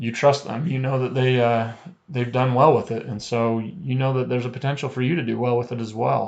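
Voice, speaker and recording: A man with an unremarkable speaking voice talks fairly quickly at a medium pitch, his intonation fairly even. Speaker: trading company presenter. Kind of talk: webinar sales pitch.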